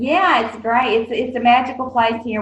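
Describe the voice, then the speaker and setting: The speaker is a woman with a Southern US accent. Her tone is bright and sharp. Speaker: nonprofit executive director. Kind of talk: interview. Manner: hesitant, many fillers.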